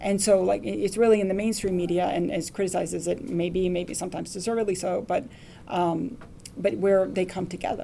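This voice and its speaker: A woman talks at a fairly quick pace with ordinary pitch variation in a room with audible echo. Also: medium pitch for a woman. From Lawrence, Massachusetts. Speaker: newspaper reporter. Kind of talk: lecture talk with Q&A. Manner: halting.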